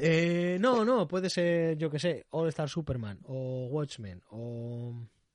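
A man at a fairly high pitch and very slow pace, with very wide pitch swings and hardly any pauses. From Canary Islands, Spain. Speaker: comics podcast host. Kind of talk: casual interview chat. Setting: video call.

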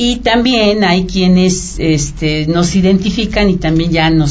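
A woman speaks at a fairly slow pace in a fairly low pitch, with ordinary pitch variation. Noticeable background noise and audible room echo are present. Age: 50s. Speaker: radio guest, office worker. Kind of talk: radio interview. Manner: halting, many fillers.

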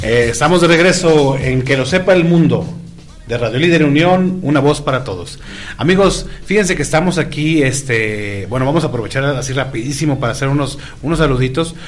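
Amid noticeable background noise and audible room echo, a man talks fairly quickly in a fairly high voice. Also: ordinary pitch variation. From Tijuana, Baja California, Mexico. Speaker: radio host. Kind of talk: casual chat.

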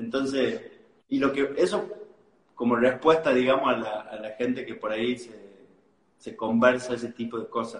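A man at medium pitch, with ordinary pitch variation, a moderate pace and long, frequent pauses. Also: big swings in loudness. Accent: Argentine. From Argentina, Tucumán. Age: 20s. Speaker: life coach. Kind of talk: interview.

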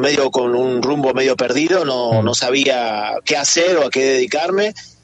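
A man with lively intonation over music in the background. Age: 50s. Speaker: flamenco dancer. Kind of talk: interview.

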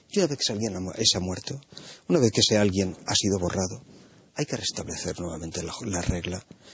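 Fairly quick and somewhat breathy, a man speaks in a very deep, low voice with ordinary pitch variation. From Spain. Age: 60s. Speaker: philosophy professor, panelist. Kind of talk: panel discussion.

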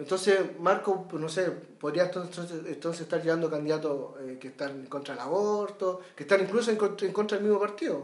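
A man with a Chilean accent talks at a fairly quick pace and high pitch, with ordinary pitch variation and noticeable background noise. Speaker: podcast host. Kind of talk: casual political discussion.

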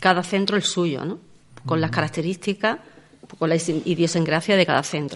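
This woman has a normal speaking voice with fairly low pitch. She keeps a moderate pace and fairly even intonation. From Andalusia, Los Barrios. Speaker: seniors' centre director. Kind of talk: radio interview.

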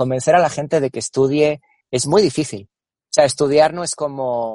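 The speaker has a Spanish accent and a fairly slow pace. Intonation stays fairly even, and the sound is dry and close with no echo. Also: man. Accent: Spanish (Spain). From Spain, Cáceres (Extremadura). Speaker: marketing and innovation executive. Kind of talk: interview. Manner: halting, repeats words.

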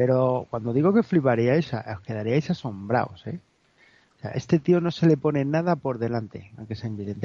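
A man's normal speaking voice at medium pitch, with lively intonation, big swings in loudness and a fairly quick pace. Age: 50s. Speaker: radio show contributor. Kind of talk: casual chat.

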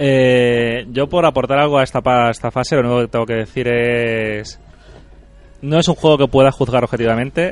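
Speaking at a moderate pace, the man has a medium-pitched voice. His intonation stays fairly even. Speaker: podcast host. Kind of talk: casual chat.

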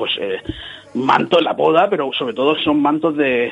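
With noticeable background noise behind him, a man talks at a fairly quick pace. His pitch is fairly high, with ordinary variation. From Cieza, Murcia, Spain. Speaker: marketing company founder. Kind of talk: radio interview. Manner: animated.

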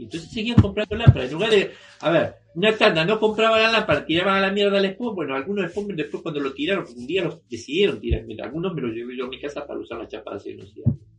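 A man speaks at a very fast pace with very wide pitch swings. His loudness rises and falls in big swings. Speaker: artist and retired museum worker. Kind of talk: interview. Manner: halting.

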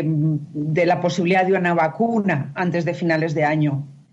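The speech is fairly slow with a Spanish accent and fairly even intonation. Noticeable background noise and audible room echo surround it. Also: woman, hardly any pauses, very even loudness. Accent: Peninsular Spanish. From Spain. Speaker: journalist. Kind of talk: interview.

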